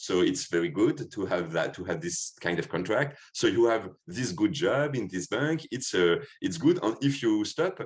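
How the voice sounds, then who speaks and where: Speaking with a French accent at a moderate pace, the voice swings very widely in pitch, shows vocal fry and has hardly any pauses. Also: man, medium pitch for a man. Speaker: filmmaker. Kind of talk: interview. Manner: halting.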